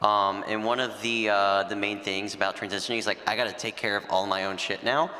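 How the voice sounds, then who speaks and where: A man with an unremarkable speaking voice and a fairly low pitch talks at a fairly quick pace with fairly even intonation. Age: 20s. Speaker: panelist living with Duchenne. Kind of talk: panel discussion. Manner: casual, conversational.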